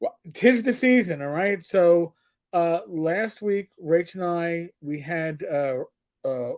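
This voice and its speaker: Speaking very slowly in a New York accent, a man uses a high pitch and lively intonation. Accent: New York accent, noticeable. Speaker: podcast host. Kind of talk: casual chat.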